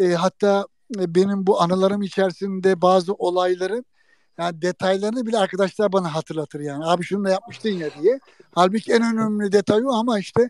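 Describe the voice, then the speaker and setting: With a dry, close sound and no echo, a man speaks at a fairly quick pace in a high pitch with fairly even intonation. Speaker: former sports photojournalist and TV man. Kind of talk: casual chat.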